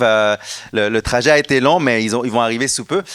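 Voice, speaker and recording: A man speaks with a Quebec accent at medium pitch and ordinary pitch variation. The sound is dry and close, with no echo. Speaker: education nonprofit founder. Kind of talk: conference presentation. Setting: stage with audience. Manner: hesitant, many fillers.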